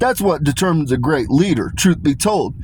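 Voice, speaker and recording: A man talks with lively intonation in a high pitch. Noticeable background noise is present. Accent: American. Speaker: commentary video creator. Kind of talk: monologue reading prepared notes. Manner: casual, profane.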